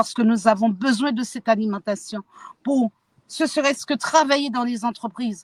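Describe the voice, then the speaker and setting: In a plain, everyday voice, a woman with a fairly high pitch and ordinary pitch variation speaks at a moderate pace, the sound dry and close with no echo. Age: 60s. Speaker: activist. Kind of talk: testimony.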